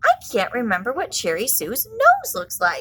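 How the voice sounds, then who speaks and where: In a put-on character voice, a woman talks at a high pitch and a moderate pace. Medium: read story.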